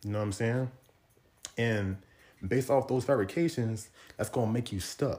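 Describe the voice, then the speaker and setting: A man's somewhat breathy voice moves at a moderate pace, with pitch that varies in an ordinary way. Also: medium pitch for a man. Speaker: podcast host and fitness coach. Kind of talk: solo motivational monologue. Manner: informal, repeats words and stumbles.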